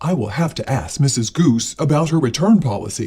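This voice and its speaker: A woman uses a put-on character voice with a very deep, low pitch. She speaks at a fairly quick pace. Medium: read story. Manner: stern, grumpy.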